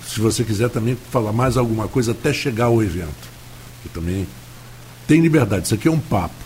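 A man at medium pitch with vocal fry, lively intonation and a fairly quick pace broken by long, frequent pauses. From Rio de Janeiro, Tijuca. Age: 70s. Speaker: radio host. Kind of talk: radio interview. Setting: radio studio. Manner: halting, many fillers.

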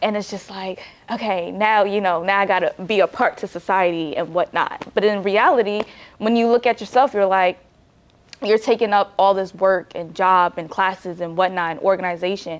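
A woman's unremarkable speaking voice with an American accent, medium in pitch, at a moderate pace and with fairly even intonation. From New Jersey, Nigerian family. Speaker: college student. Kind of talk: casual interview.

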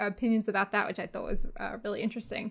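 The very clean recording, with its silent background, captures a woman speaking with an Australian accent. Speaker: podcast guest, movie fan. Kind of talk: casual chat.

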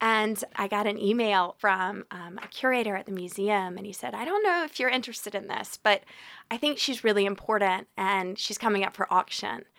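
This woman uses an ordinary speaking voice at a medium pitch, moving at a fairly quick pace with ordinary pitch variation. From Atlanta, US South. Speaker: arts patron, initiative founder. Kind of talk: casual interview.

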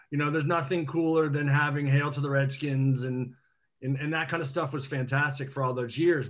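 A man speaks with an American accent at a fairly quick pace. His fairly high voice sounds somewhat breathy. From Washington DC. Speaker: TV producer and team fan. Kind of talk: casual panel chat.

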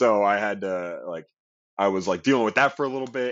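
This is an unremarkable speaking voice at a fairly quick pace. The pitch varies in an ordinary way. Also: man. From US West Coast, Long Beach, California. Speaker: stage actor and dancer. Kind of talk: casual interview. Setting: recording studio.

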